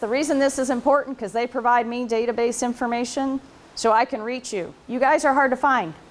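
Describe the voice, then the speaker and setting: A woman speaks in a high pitch at a moderate pace. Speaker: researcher and conference presenter. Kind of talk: conference talk. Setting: conference room with audience, recorded on video. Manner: casual, conversational; loud.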